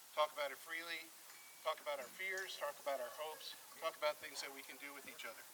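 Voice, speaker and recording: This man speaks very fast at a fairly high pitch, his intonation fairly even. His loudness swings widely, and background noise is noticeable. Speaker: community speaker. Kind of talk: public speech.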